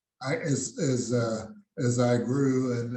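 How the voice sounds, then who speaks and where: A man with an American accent speaks in a monotone with flat intonation. Audible room echo surrounds the voice. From South Texas. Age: 80s+. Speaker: jazz musician and engineer. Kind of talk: interview. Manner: halting, many fillers.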